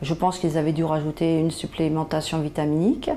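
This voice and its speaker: A woman speaks at a fairly quick pace. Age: 60s. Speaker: patient. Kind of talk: interview testimony. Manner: hesitant, many fillers.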